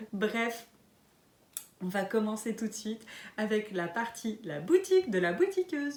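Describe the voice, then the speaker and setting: A woman's very slow, fairly high-pitched delivery over noticeable background noise. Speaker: knitting and sewing podcaster. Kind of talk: casual podcast monologue. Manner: hesitant, many fillers.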